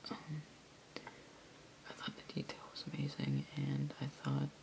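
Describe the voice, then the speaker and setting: A whisper moves along fairly slowly. Noticeable noise can be heard in the background. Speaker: ASMR creator. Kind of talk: ASMR figure collection show-and-tell. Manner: soft-spoken.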